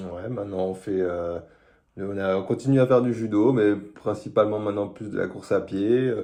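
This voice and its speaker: A man's dark, mellow voice at fairly low pitch, moderate pace and fairly even intonation. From France, Strasbourg (Alsace). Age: 20s. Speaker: engineer, reality show applicant. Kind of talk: casual self-presentation video.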